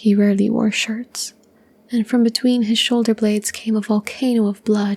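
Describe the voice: Words are read aloud plainly. Nothing more is added to the reading.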